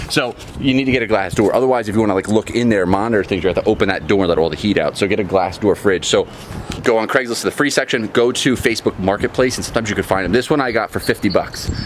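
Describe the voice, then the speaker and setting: With noticeable background noise behind him, a man with a fairly low voice speaks energetically at a very fast pace, with ordinary pitch variation. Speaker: reptile breeder and DIY vlogger. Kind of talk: casual how-to vlog. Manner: energetic, chatty.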